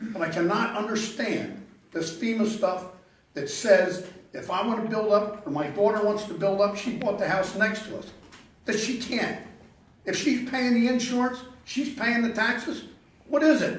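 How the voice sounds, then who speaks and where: A man with a Philadelphia accent, high-pitched, at a moderate pace with ordinary pitch variation, amid audible room echo and noticeable background noise. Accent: Philadelphia-area American. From Pennsylvania, US. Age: 70s. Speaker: local resident speaking at public hearing. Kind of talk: public comment at zoning hearing. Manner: halting, repeats words.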